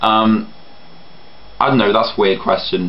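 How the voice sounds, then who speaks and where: A man speaks at a moderate pace, with noticeable background noise and audible room echo around him. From England. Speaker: vlogger. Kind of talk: casual vlog. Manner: hesitant, many ums.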